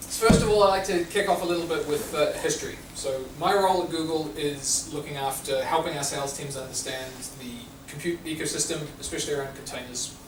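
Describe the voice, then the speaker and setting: A man with a New Zealand accent talks at a very fast pace in a fairly high pitch with ordinary pitch variation. Audible room echo and noticeable background noise are in the recording. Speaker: tech company speaker. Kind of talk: lecture. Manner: loud.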